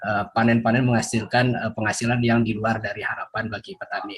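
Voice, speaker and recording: A man talks very fast in a somewhat breathy voice of medium pitch. His intonation is monotone and flat. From Indonesia, West Java. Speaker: webinar participant, student researcher. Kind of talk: audience question. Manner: halting.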